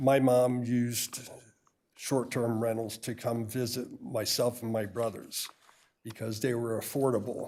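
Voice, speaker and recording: Here is a plain, everyday voice: a man at medium pitch, talking at a fairly slow pace. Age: 60s. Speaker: realtor, public commenter. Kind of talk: public comment at council meeting. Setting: city council chamber.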